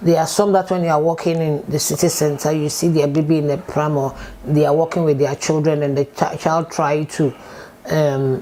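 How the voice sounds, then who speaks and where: Speaking with a Ghanaian accent, a woman uses a very deep, low pitch, fairly even intonation and a moderate pace. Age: 50s. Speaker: support worker. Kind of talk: oral history interview answer.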